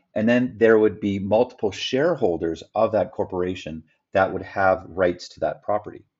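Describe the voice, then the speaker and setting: A man with a Canadian accent and a normal speaking voice, fairly low in pitch, with ordinary pitch variation. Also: moderate pace, big swings in loudness. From Canada. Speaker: real estate developer and business partner. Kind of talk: explainer presentation.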